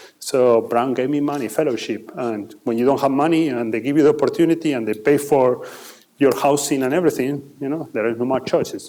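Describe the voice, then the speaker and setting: At a fairly quick pace, a man with an Argentine accent speaks at medium pitch with ordinary pitch variation. Noticeable background noise sits behind him. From Argentina. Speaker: finance executive. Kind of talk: Q&A talk with students. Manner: halting with repetitions.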